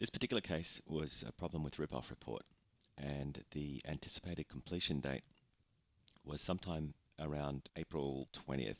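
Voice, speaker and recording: Speaking at a moderate pace, a man uses a very deep, low pitch with ordinary pitch variation. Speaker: online reputation management business owner. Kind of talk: screen-share explainer narration.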